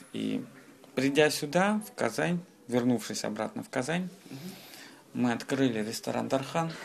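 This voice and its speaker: A man's medium-pitched voice with big swings in loudness and long, frequent pauses, against noticeable background noise. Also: moderate pace. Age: 20s. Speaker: restaurateur. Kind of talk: interview. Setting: in a restaurant.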